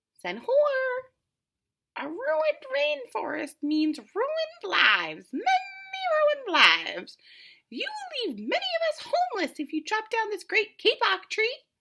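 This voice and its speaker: In a put-on character voice, a woman squeaks at an extremely high pitch with very wide pitch swings. She goes at a fairly slow pace with long, frequent pauses. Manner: pleading.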